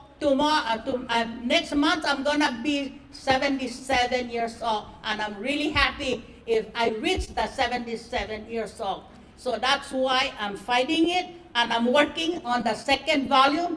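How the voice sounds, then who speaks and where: High-pitched woman at a fairly slow pace, ordinary pitch variation and noticeable background noise. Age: 70s. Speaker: author and traditional healer. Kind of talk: speech at a book launch.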